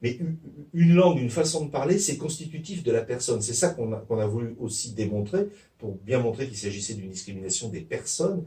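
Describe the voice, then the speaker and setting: Somewhat breathy and dark, mellow in tone, a man at medium pitch races along at a very fast pace with very wide pitch swings. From Provence, France. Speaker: sociolinguistics professor. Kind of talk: interview answer.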